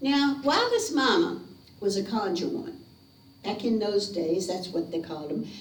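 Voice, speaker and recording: Over noticeable background noise, a woman of medium pitch with a Southern US accent moves through very wide pitch swings at a moderate pace. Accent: Southern American. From North Carolina. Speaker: storyteller. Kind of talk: ghost story telling to a live audience. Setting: living room. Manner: theatrical, lively.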